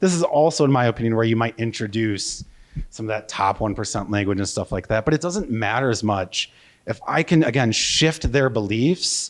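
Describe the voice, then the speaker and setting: In a Wisconsin accent, a man talks at a fairly quick pace with lively intonation. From US Midwest, Wisconsin. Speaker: marketing consultant, conference speaker. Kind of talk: conference keynote. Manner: casual, with many fillers and restarts.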